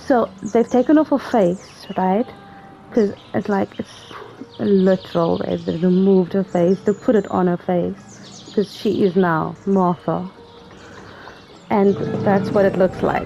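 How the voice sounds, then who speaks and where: This woman talks at a medium pitch with ordinary pitch variation. Long, frequent pauses break up her speech, and noticeable background noise runs behind it. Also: fairly slow pace. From South Africa. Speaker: gaming streamer. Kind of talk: live gameplay commentary. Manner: hesitant, many fillers.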